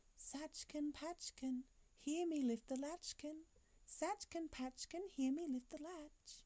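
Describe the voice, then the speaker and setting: In a put-on character voice, a female-sounding speaker talks squeaky and high at a fairly slow pace. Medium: read story.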